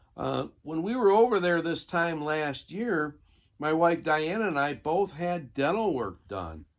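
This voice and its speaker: A man with an American accent, fairly high-pitched, at a fairly slow pace, on a very clean recording with a silent background. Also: lively intonation. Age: 60s. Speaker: former Marine vlogger. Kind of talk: casual vlog talk. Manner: relaxed, hesitant with fillers.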